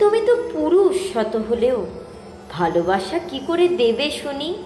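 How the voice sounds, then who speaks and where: A woman speaks in a high pitch with very wide pitch swings. Music plays behind her. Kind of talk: poetry reading.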